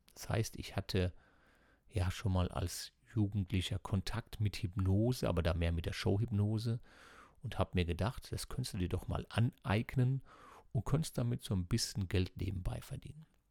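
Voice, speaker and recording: A somewhat breathy man at fairly low pitch and a moderate pace, dark, mellow tone, lively intonation, on a very clean recording with a silent background and a dry, close sound with no echo. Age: 50s. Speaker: psychotherapy practitioner and coach. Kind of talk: personal monologue podcast.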